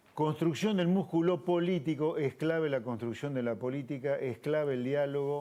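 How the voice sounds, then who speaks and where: With an Argentine accent, a man talks at a fairly quick pace in a dark, mellow tone, his fairly high pitch moving with ordinary variation. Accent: Argentine Spanish (Rioplatense). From Argentina. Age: 60s. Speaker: economist and politician. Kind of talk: TV interview.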